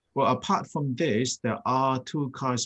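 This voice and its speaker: Against a quiet background, a man talks with a Thai accent. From Thailand. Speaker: Buddhist monk. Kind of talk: talk with slides.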